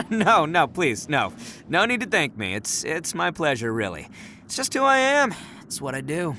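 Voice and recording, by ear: With a bright, sharp tone, a man puts on a character voice at a fairly high pitch with very wide pitch swings. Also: moderate pace.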